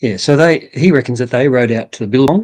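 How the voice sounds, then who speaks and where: A man speaks in an Australian accent. His pitch is medium, with ordinary variation. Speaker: bush poet. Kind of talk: interview answer.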